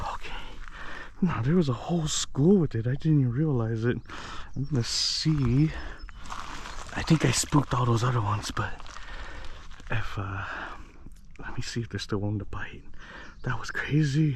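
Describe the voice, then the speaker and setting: With an excited, animated tone, a man talks at a moderate pace with long, frequent pauses, amid noticeable background noise and audible room echo. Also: medium pitch for a man, ordinary pitch variation. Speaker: fishing vlogger. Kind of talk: casual vlog narration. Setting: outdoors by a lake.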